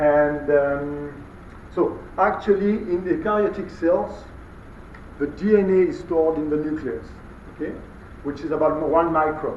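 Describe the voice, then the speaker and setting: A man speaks at a moderate pace in a fairly high pitch, taking long, frequent pauses. Audible room echo surrounds his voice. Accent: French. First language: French. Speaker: molecular biology researcher, guest lecturer. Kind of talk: lecture. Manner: halting, many fillers.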